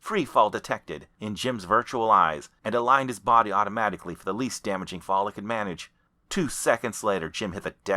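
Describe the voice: A plain reading aloud unfolds, its pitch varying in an ordinary way.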